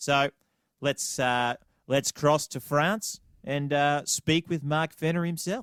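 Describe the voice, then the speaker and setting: Speaking at a very slow pace with an Australian accent, a man uses a fairly high pitch with ordinary variation, the sound dry and close with no echo. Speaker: podcast co-host. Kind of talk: casual podcast chat and interview.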